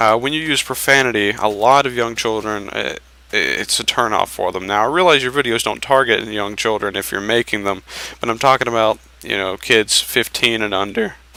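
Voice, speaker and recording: Over noticeable background noise, a man talks at a moderate pace. His medium pitch shows ordinary variation. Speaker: gaming YouTuber. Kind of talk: tutorial. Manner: casual, halting with fillers.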